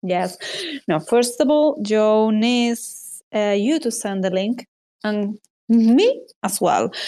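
A woman with a Spanish accent speaks at a very slow pace against a quiet background. Her voice is fairly high, with a dark, mellow tone and ordinary pitch variation. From Spain. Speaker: podcast co-host, artist and illustrator. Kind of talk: casual chat. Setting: live audio space online.

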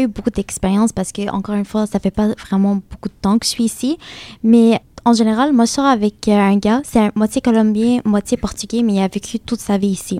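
Speaking with an Arabic accent, a woman uses a dark, mellow tone at a fairly high pitch, keeping a moderate pace and fairly even intonation in dry, close sound with no echo. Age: 20s. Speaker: student. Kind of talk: group discussion.

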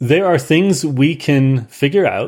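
With an American accent, a man speaks fairly slowly and varies his pitch in an ordinary way. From Ireland. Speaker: software industry professional. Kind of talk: casual technical interview. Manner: repeats words and restarts often.

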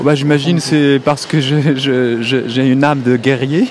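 Fairly even intonation with noticeable background noise. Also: man. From Morocco. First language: Arabic (speaking French). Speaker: film director and writer. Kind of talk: interview. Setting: festival hall.

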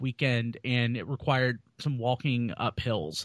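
Dry, close sound with no echo, at a moderate pace. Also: man. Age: 30s. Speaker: podcast co-host. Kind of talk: casual chat.

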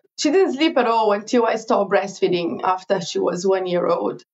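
A woman's voice with a Portuguese accent and very wide pitch swings. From Brazil. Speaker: digital marketing consultant. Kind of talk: interview.

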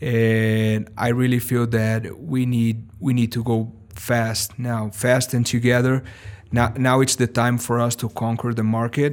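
A man at medium pitch with a Brazilian accent, at a fairly slow pace with monotone, flat intonation. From Brazil (Sao Paulo). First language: Portuguese. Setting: recorded at a live event.

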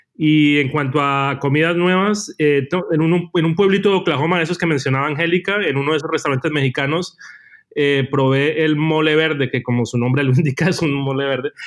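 Fairly high in pitch, a man speaks with fairly even intonation. His pace is fairly quick. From Colombia, Cali. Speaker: journalist. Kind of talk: casual interview chat. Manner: halting, repeats words.

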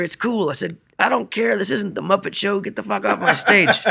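A man speaks at a moderate pace with an American accent. His tone is bright and sharp. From Central Texas, near San Marcos. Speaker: musician. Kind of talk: interview. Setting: hotel room. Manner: energetic.

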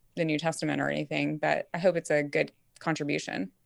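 The recording is very clean, the background silent. A woman speaks at a very fast pace. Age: 30s. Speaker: New Testament scholar. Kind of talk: casual chat.

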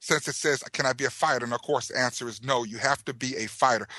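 A man's voice has a bright, sharp tone, with a dry, close sound with no echo and a quiet background. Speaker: podcast host. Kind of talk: casual chat.

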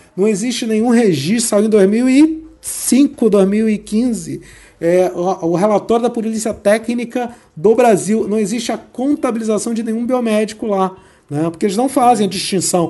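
Here a man with a high pitch and a dark, mellow tone talks at a fairly slow pace, using ordinary pitch variation. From Rio de Janeiro. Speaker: biomedical scientist and exam-prep teacher. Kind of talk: interview.

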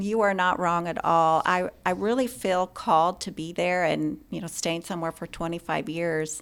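With an American accent and an ordinary speaking voice, a woman talks at a moderate pace in a fairly low pitch with ordinary pitch variation, recorded very cleanly against a silent background. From US Pacific Northwest, Spokane, Washington. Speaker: healthcare executive. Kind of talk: interview.

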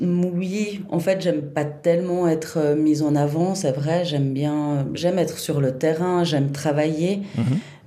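A woman's very deep, low-pitched voice at a very slow pace, with very even loudness, fairly even intonation and hardly any pauses, amid noticeable background noise. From Switzerland, Chablais (Vaud). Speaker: festival director. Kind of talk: interview. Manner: halting, many repetitions.

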